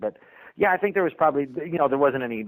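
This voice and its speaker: A man talks with ordinary pitch variation. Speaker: voice actor. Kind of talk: podcast interview answer. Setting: podcast interview.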